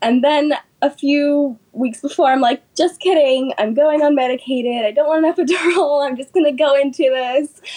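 A woman talks at a moderate pace with hardly any pauses. Her pitch is high, and she has an American accent. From California, Sacramento. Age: 20s. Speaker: doula and mother. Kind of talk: interview, personal story.

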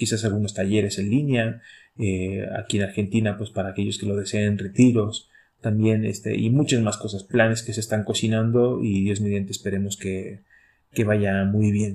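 A man's dark, mellow, fairly low voice in a flat monotone, moderate in pace, on a very clean recording with a silent background. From Chile, Santiago. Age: 30s. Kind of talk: casual chat.

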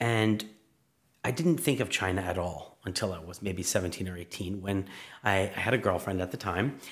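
Fairly even intonation in a New York accent. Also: man. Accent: New York area American. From New York suburbs, US. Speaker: political science professor. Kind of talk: interview.

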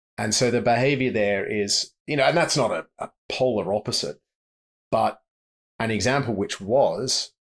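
With an Australian accent, a man speaks at a moderate pace and with ordinary pitch variation. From Australia, Sydney. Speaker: safari guide and author. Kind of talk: casual interview. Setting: remote call.

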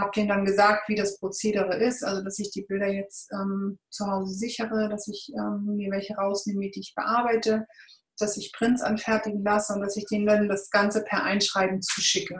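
A woman talks at a medium pitch and moderate pace, in a flat monotone. Music plays in the background. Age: 40s. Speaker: volunteer photographer. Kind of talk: interview.

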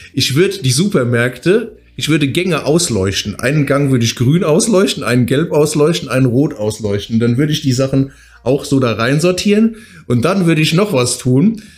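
Somewhat breathy and very even in loudness, a man with a fairly high pitch talks at a moderate pace with lively intonation. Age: 40s. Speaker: fitness coach and podcast co-host. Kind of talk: casual chat. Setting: office.

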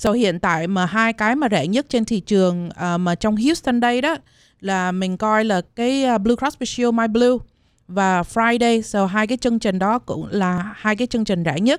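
A woman has a plain, everyday voice with a fairly high pitch and ordinary pitch variation. She keeps a moderate pace and very even loudness. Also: very clean recording, silent background. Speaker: health insurance agent. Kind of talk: informative talk on radio.

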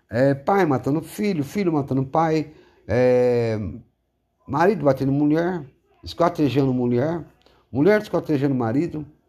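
A man speaks fairly slowly with a fairly high pitch, a dark, mellow tone, ordinary pitch variation, and long, frequent pauses. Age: 40s. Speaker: podcaster. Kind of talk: monologue. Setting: at home, seated in living room. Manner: halting.

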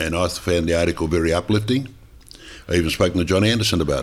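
With an Australian accent, a man speaks at a fairly quick pace in a very deep, low voice with ordinary pitch variation. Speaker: podcast co-host, former footballer. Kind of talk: casual chat.

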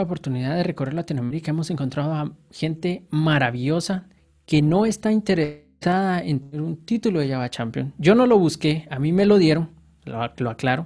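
Speaking at a moderate pace with ordinary pitch variation, a man has a plain, everyday voice pitched fairly high. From Guatemala, Guatemala City. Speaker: software engineer. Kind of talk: casual interview.

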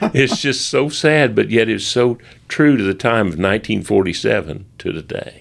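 The voice has vocal fry and lively intonation. It moves at a very slow pace. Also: man, medium pitch for a man. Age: 70s. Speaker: storyteller, local historian. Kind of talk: casual chat. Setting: museum basement recording room.

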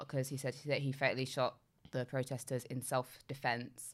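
On a very clean recording with a silent background, a woman with a London accent speaks at a moderate pace in a very deep, low pitch. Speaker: podcast co-host. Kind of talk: casual chat.

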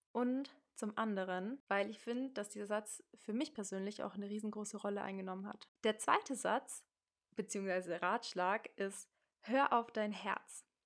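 A woman with a normal speaking voice talks at a fairly slow pace in a medium pitch, her intonation fairly even, on a very clean recording with a silent background. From Munich, Germany. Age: 20s. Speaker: podcast host. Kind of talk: casual monologue. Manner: casual, youthful slang.

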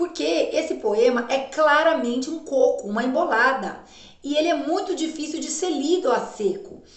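A woman with a high pitch and an animated tone makes very wide pitch swings at a moderate pace, with noticeable background noise and audible room echo. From Paraná, Brazil. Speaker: literature professor. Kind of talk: casual introduction to a poem reading.

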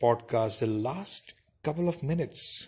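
Lively intonation in a somewhat breathy voice. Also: man. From India. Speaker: podcast host. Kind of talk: solo podcast monologue. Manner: hesitant, many fillers.

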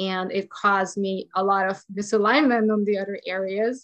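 This woman speaks with a Hungarian accent at medium pitch. Her intonation is fairly even, and the background is quiet. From Hungary. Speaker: holistic health and business coach. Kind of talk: casual interview chat.

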